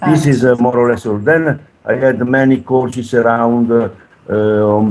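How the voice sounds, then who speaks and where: A man with an Italian accent at medium pitch, with fairly even intonation. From Italy. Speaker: rowing coach. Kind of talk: interview. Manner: halting.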